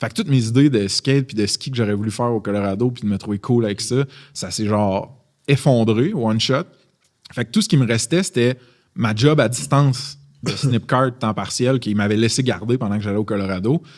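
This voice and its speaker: The man talks at a fairly quick pace, keeping a medium pitch with ordinary pitch variation. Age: 30s. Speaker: startup founder. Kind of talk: podcast interview. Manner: animated.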